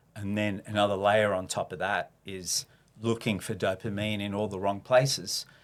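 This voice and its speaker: With an Australian accent, a man talks at a moderate pace in a fairly low voice with monotone, flat intonation. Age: 60s. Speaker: reformed abuser sharing his story. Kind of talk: podcast interview, personal testimony. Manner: hesitant, many fillers.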